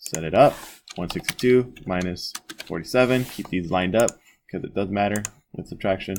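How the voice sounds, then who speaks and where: Delivery comes at a fairly quick pace with ordinary pitch variation. Long, frequent pauses break it up. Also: man, fairly low pitch for a man. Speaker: math teacher. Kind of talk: tutorial. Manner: fast; casual.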